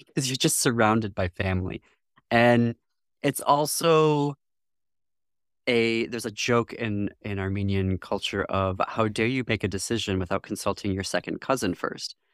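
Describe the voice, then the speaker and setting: An ordinary speaking voice from a man with an American accent, medium in pitch, at a moderate pace with ordinary pitch variation, on a very clean recording with a silent background and a dry, close sound with no echo. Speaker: diversity officer and library founder. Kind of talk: casual interview chat.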